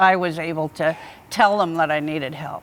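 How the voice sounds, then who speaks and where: At a fairly slow pace, a woman talks in a fairly low pitch with fairly even intonation. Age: 60s. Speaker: sister of guest, mental health advocate. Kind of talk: TV interview.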